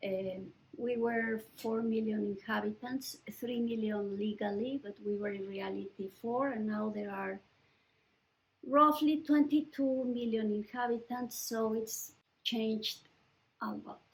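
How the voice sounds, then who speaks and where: With a Mexican accent, a woman talks at a fairly slow pace in a fairly high, somewhat breathy voice. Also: ordinary pitch variation. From Mexico, Mexico City. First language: Spanish. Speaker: writer and professor. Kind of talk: oral history interview. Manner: halting, with many fillers.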